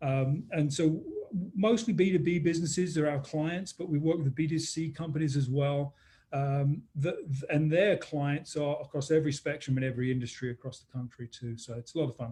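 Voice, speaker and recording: A man with a dark, mellow, somewhat breathy voice speaks at a fairly high pitch and fairly quick pace. His pitch varies in an ordinary way while his loudness swings a lot. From London, England. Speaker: business consultant. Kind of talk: interview webinar. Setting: live-streamed webinar.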